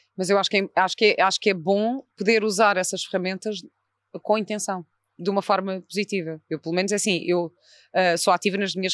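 Her medium-pitched voice stays monotone and flat as this woman talks at a fairly quick pace, with a dry, close sound and no echo. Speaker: podcast host. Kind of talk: casual interview chat. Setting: in person at the guest's institute.

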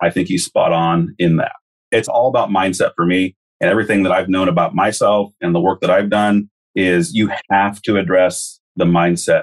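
An unremarkable speaking voice at a moderate pace, with ordinary pitch variation and very even loudness. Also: man, fairly low pitch for a man. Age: 40s. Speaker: corrections counselor and life coach. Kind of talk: casual interview.

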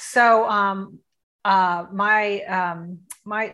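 Over a quiet background, a woman with an American accent speaks at medium pitch in a bright, sharp tone. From US South, Tampa, Florida. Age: 50s. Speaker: coaching client. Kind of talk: testimony.

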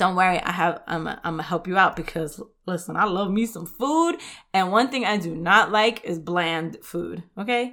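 A woman with a New York accent speaks at a moderate pace and medium pitch, her tone animated and her pitch variation ordinary. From New York, the Bronx; Puerto Rican family. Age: 30s. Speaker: health podcast host. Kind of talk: solo podcast monologue. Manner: casual, animated.

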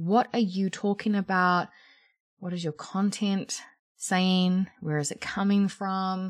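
A woman with a New Zealand accent, medium-pitched and animated, energetic, at a fairly slow pace, on a very clean recording with a silent background. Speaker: podcast host and career coach. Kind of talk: solo podcast monologue.

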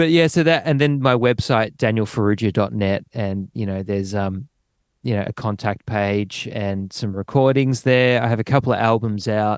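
Against a quiet background, a man with an Australian accent speaks at a moderate pace and medium pitch, with ordinary pitch variation. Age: 30s. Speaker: drummer. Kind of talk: casual chat.

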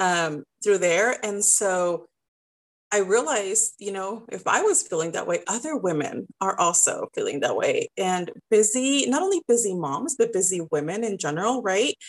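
She speaks at a moderate pace with lively intonation and a medium pitch. Hers is a plain, everyday voice. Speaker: style business owner and coach. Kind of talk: casual interview chat.

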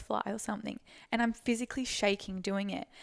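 A woman's medium-pitched voice with an Australian accent, very fast and monotone, flat in intonation, on a very clean recording with a silent background. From Australia, Sunshine Coast, Queensland. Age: 20s. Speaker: online fitness coach. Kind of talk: casual chat. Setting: Airbnb in Brisbane.

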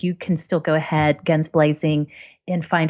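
Fairly low in pitch and at a moderate pace, a woman talks in a plain, everyday voice. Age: 30s. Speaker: blogger. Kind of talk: casual chat.

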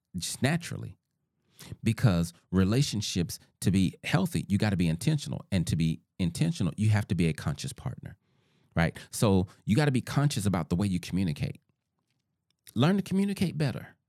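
The voice, with a Southern US accent, moves at a fairly quick pace in a dark, mellow tone with very wide pitch swings. The recording is very clean, with a silent background and a dry, close sound with no echo. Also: man, fairly low pitch for a man. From US South. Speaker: podcast host, relationship author. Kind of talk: solo talk on relationships.

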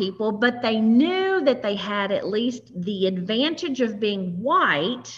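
With a Southern US accent, a woman speaks fairly slowly in a fairly high voice, her pitch swinging very widely over noticeable background noise. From US South, West Tennessee. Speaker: podcast host. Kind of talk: interview.

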